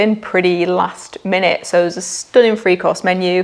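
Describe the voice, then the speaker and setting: An animated, fairly quick delivery in a Lancashire accent, with noticeable background noise. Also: woman. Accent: Preston, Lancashire. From northern England, Preston, Lancashire. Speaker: marketing agency founder. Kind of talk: casual monthly recap vlog. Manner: chatty, animated.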